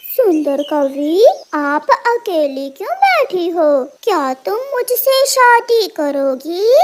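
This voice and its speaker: A cartoonish character voice talks at a very slow pace with an extremely high pitch. Its pitch swings very widely. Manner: smooth then menacing.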